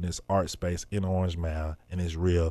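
In a Memphis accent, a man speaks with a dark, mellow tone. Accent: Southern US (Memphis). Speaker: journalist and hip-hop artist. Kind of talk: interview.

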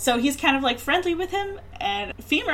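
A woman swings through a very wide pitch range while noticeable noise sounds behind her. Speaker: podcast host. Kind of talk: casual chat.

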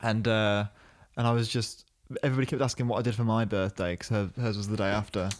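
Very fast speech comes from a man with a fairly low pitch and fairly even intonation. The recording is very clean, with a silent background. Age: 20s. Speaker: podcast host. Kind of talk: casual chat. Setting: in person, same room. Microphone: dynamic studio mic.

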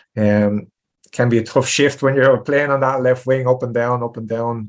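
A man with a Tipperary accent speaks at a medium pitch over a quiet background. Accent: rural Irish (Tipperary). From Tipperary, Ireland. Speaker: retired footballer. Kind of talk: interview.

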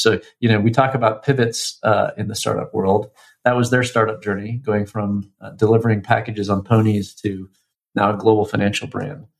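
A man's plain, everyday voice, fairly low in pitch, with fairly even intonation. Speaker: fintech founder. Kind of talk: interview. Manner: many fillers and repetitions.

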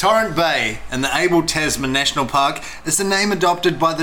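Over noticeable background noise, a man speaks at a fairly high pitch and a moderate pace. His intonation is lively. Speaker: podcast co-host, wine reviewer. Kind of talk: casual banter, wine review.

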